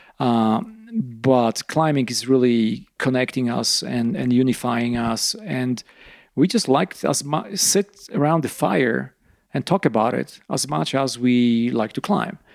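A man's medium-pitched, fairly slow speech in a Polish accent, with lively intonation. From eastern Poland. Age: 50s. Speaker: rock climber. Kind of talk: casual chat. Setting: at home after dinner.

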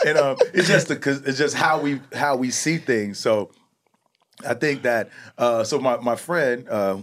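With lively intonation, an unremarkable speaking voice talks at a fairly slow pace. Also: man. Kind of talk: casual interview.

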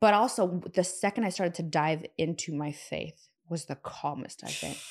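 A woman with an American accent, a normal speaking voice and fairly low pitch, ordinary pitch variation at a moderate pace, on a very clean recording with a silent background. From US Pacific Northwest, Seattle. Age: 30s. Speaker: entrepreneur and investor. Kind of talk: casual chat.

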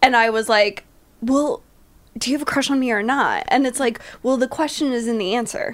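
A woman's high-pitched voice, fairly quick and animated in tone, with ordinary pitch variation. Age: 30s. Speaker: comedian. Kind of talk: casual chat.

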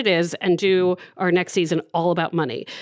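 Here is a woman with an American accent. Her pitch is medium. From Maryland. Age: 40s. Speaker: advice columnist and podcast host. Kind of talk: casual chat.

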